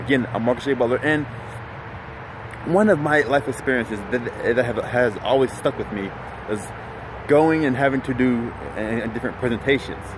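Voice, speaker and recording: Against noticeable background noise, a man at a medium pitch speaks at a fairly quick pace with ordinary pitch variation. Long, frequent pauses break up his speech. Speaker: motivational speaker and life coach. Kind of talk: motivational vlog talk. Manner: halting with repetitions.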